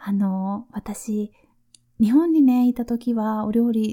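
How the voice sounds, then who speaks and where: Fairly high-pitched woman's voice, somewhat breathy, dark and mellow, relaxed and gentle, with fairly even intonation. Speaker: nurse and podcast host. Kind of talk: casual listener Q&A monologue.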